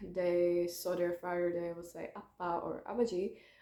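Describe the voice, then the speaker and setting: A woman speaks at a fairly slow pace with a non-native accent. Her tone is dark and mellow, and her pitch sits in the medium range. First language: not English. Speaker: YouTuber. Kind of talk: casual vlog monologue. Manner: halting, many fillers.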